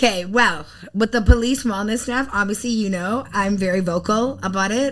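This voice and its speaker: On a very clean recording with a silent background, a woman talks at a fairly quick pace with ordinary pitch variation. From Toronto, Canada. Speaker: mental health advocate and swimming teacher. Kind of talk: podcast interview.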